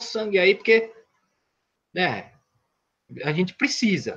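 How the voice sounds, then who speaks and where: The tone is bright and sharp, the voice raised and projected. The pace is very slow. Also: man. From São Paulo, east zone. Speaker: independent filmmaker and poet. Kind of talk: casual interview storytelling. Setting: online live stream. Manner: halting, repeats words.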